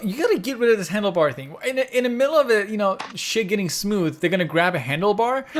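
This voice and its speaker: Through noticeable background noise, a high-pitched man rattles along at a very fast pace with lively intonation and hardly any pauses. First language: Persian. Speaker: podcast co-host. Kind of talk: casual chat.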